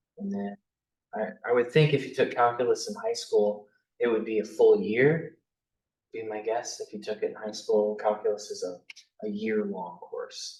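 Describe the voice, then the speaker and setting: Loudness swings widely throughout. The pace is moderate. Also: man. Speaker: math instructor. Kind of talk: lecture.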